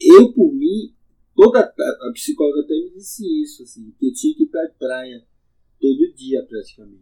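A man is speaking. His pace is moderate. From Salvador, Bahia, Brazil (Subúrbio Ferroviário). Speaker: community historian and local resident. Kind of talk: conversational interview, reminiscing. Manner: animated.

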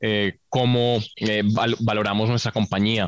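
A man speaks at a medium pitch with fairly even intonation. The sound is dry and close with no echo, against a quiet background. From Colombia, Bogotá. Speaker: entrepreneur and engineer. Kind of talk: casual interview. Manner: hesitant, many fillers.

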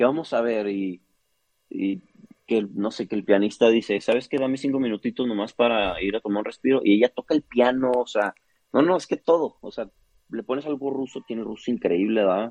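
The speaker has a northern Mexican accent and talks at a fairly quick pace. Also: man. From northern Mexico, Chihuahua. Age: 30s. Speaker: opera singer. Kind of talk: interview.

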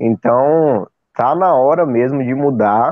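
This man talks very slowly, his pitch varying in an ordinary way. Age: 20s. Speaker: football fan, channel supporter. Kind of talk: casual chat.

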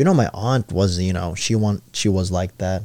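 On a very clean recording with a silent background, a man speaks at a moderate pace in a fairly low, dark, mellow voice. His intonation is fairly even, and the sound is dry and close with no echo. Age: 20s. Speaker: podcast host. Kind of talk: casual chat.

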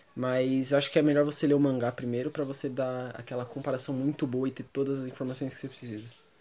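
Dark and mellow in tone, a man speaks at a medium pitch in a monotone, flat way. He goes at a very fast pace with hardly any pauses. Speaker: podcast co-host. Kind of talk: casual chat.

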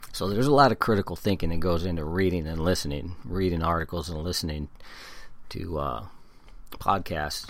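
Speaking with an American accent at a fairly quick pace, a man uses a very deep, low pitch with ordinary variation. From California, San Diego. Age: 50s. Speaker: podcaster and blogger. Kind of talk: solo podcast commentary, partly reading articles aloud.

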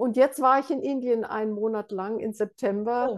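A woman has an unremarkable speaking voice with fairly high pitch. The background is quiet. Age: 60s. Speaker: meditation teacher. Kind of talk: interview.

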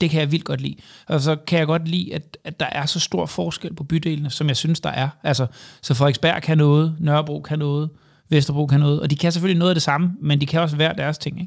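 A man talks at a very fast clip, his voice somewhat breathy and fairly high-pitched for a man. His intonation stays fairly even, and the recording is very clean with a silent background. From Jutland, Denmark. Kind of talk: casual interview. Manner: halting, many fillers and repetitions.

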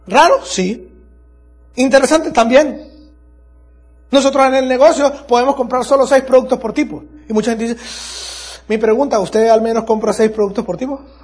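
A man's extremely high, animated voice at a moderate pace, ordinary pitch variation, and long, frequent pauses. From Venezuela, Andes region. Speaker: network marketing business speaker. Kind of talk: motivational talk. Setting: stage with audience.

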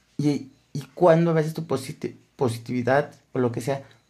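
A man speaks in a Mexican accent with a dark, mellow tone. His voice is somewhat breathy. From Mexico, Aguascalientes. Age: 20s. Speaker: podcaster. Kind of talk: casual monologue. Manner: halting, many repetitions.

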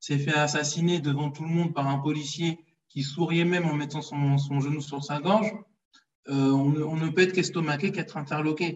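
A man speaks in a normal speaking voice at a fairly high pitch. His intonation is fairly even and his pace moderate. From France (Paris), Congolese heritage. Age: 30s. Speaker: history page creator, financial controller. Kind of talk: casual interview.

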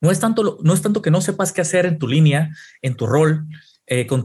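A man speaks with a fairly high voice. His pitch moves in an ordinary way. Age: 30s. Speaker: esports performance coach. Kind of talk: casual chat.

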